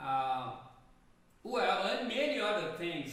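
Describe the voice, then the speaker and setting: A man speaks with a Brazilian Portuguese accent. Room echo is audible. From Brazil, Rio de Janeiro. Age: 70s. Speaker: jazz pianist. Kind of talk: casual chat. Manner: halting.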